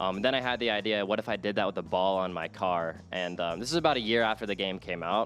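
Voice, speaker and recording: A man with a fairly low pitch speaks over music in the background. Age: 20s. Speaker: esports content creator. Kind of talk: interview. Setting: broadcast studio. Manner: casual, filler-heavy.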